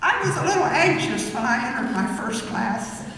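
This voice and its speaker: A woman speaks at a moderate pace with music in the background. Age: 80s+. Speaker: university graduate, retired accountant. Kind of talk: graduation chapel speech.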